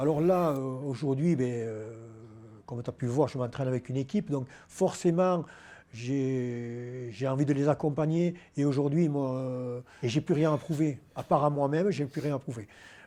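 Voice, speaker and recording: A man talks at a moderate pace with a fairly high pitch, a dark, mellow tone and ordinary pitch variation. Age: 60s. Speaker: powerlifting champion. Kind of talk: interview. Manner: hesitant, many fillers.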